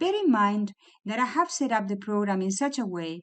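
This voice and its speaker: A somewhat breathy woman's voice with lively intonation over a quiet background. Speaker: psychologist. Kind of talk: scripted narration. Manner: dynamic, not too slow.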